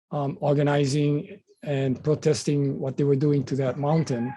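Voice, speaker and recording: A man with a Hawaiian accent speaks fairly slowly in a fairly high voice. His tone is dark and mellow, and somewhat breathy. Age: 70s. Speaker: political candidate and activist. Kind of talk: interview. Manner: hesitant, many fillers.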